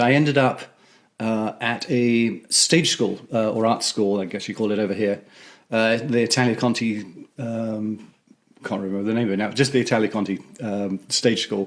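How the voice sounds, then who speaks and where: Heard on a very clean recording with a silent background, a man talks with fairly even intonation. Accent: English. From England. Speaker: theatre music director. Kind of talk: interview. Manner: halting, many fillers.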